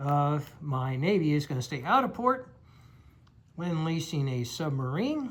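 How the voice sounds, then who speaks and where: Lively in intonation, a man with a fairly high pitch moves at a very slow pace. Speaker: board game player and video creator. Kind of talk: game turn narration. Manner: slow, deliberate.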